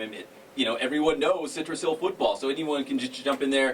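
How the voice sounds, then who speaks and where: With an American accent, a man speaks very fast as noticeable background noise plays underneath. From Northern California. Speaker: sports radio host. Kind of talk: sports talk interview. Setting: radio studio. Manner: loud.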